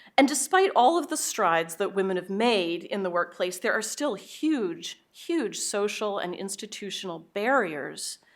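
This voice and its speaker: In a very clean recording with a silent background, a woman speaks at a fairly slow pace. Her fairly high voice shows very wide pitch swings. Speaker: business school professor. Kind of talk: keynote talk. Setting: stage with audience.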